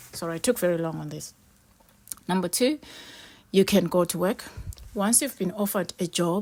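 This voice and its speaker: A woman speaks at a moderate pace. Her pitch sits in the medium range. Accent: non-native. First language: not English. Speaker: vlogger. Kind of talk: casual talk to camera.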